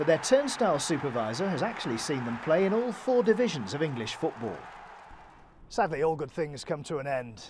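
Crowd noise fills the background as a man with a fairly high pitch talks at a fairly quick pace. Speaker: sports reporter. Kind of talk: TV news feature narration.

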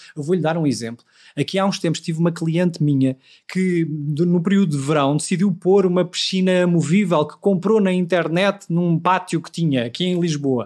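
A high-pitched man comes through on a very clean recording with a silent background. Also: ordinary pitch variation, moderate pace. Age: 40s. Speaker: law professor. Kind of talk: interview.

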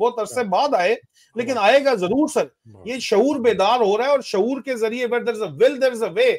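Ordinary pitch variation over a quiet background. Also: man. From Pakistan. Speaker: retired army officer and political commentator; political commentator. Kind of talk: political discussion. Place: home room. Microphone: video call.

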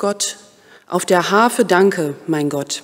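A woman talks very slowly over a quiet background. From Germany, Osnabrück; Germany. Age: 30s. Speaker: vicar in training. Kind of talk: prayer; self-introduction. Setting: church. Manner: hesitant, with filler sounds. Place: church. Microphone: podium.

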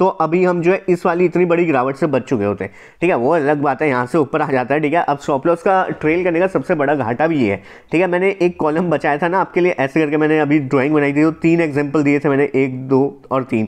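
Against a quiet background, a man speaks at a fairly high pitch with ordinary pitch variation. His loudness stays very even. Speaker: stock market educator. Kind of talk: tutorial. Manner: fast; casual.

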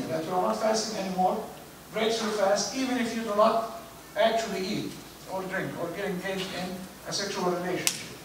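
High-pitched male speech at a moderate pace, fairly even in intonation, with audible room echo and light background noise. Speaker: imam giving a lecture. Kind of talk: religious lecture. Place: church.

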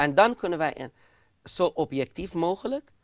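With a Persian accent, a man speaks at a very slow pace, his pitch swinging very widely. The sound is dry with no echo and the background is quiet. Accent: Persian-accented Dutch. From Iran. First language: Persian (speaking Dutch). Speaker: speaker. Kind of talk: TV discussion; interview answer. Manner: hesitant. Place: studio. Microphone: lapel.

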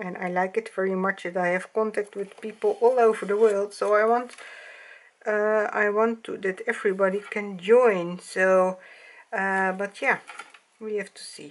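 Her intonation monotone and flat, a woman speaks at a fairly slow pace with medium pitch. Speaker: doll hobby vlogger. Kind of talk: casual vlog chat. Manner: hesitant, halting, searching for words. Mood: calm, soft and friendly. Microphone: camera far.

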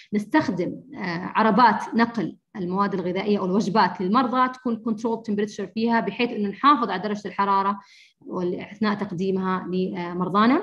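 Against a quiet background, a woman talks at a fairly quick pace in a medium pitch with ordinary pitch variation. She has an unremarkable speaking voice. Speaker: infection control nurse. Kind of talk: lecture. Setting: video call.

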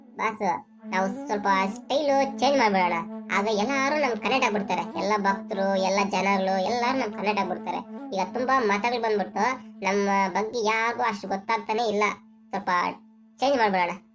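Over clear music in the background, a cartoonish character voice that sounds female speaks at a moderate pace with a medium pitch for a woman. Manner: casual, slangy, calls his master boss.

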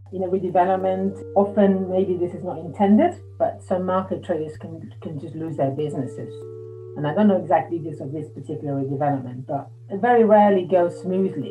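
Faint music sits in the background while a woman talks at a very fast pace. Her pitch is very deep and low, and her loudness swings a lot. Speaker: interviewee. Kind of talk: interview answer. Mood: concerned, thoughtful. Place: home room. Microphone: video call.

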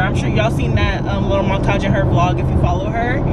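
A woman rattles off words at a very fast pace amid loud background noise. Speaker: vlogger. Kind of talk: casual vlog chat. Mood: reflective, personal. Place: car. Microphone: phone near.

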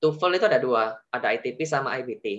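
The man's tone is bright and sharp. The background is quiet. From Indonesia. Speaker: veterinary graduate student; webinar presenter. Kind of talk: tutorial. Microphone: video call.

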